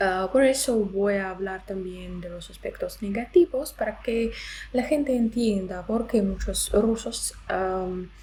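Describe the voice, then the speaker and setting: The speech moves very slowly, with big swings in loudness and noticeable background noise. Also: woman. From Belarus. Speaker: language and culture YouTuber. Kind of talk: explainer video. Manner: hesitant, many filler sounds.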